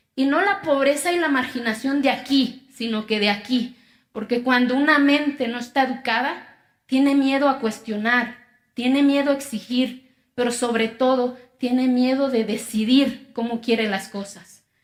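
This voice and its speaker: At a fairly slow pace, a woman with an Oaxacan accent speaks in a high pitch with fairly even intonation. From Mexico, Oaxaca (Zapotec community). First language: Zapotec (speaking Spanish). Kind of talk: testimony speech.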